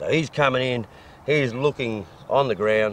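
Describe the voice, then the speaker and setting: A man with an Australian accent talks at a medium pitch and a moderate pace. His intonation is lively, and there is noticeable background noise. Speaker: fox hunter and bowhunter. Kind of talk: casual instructional chat.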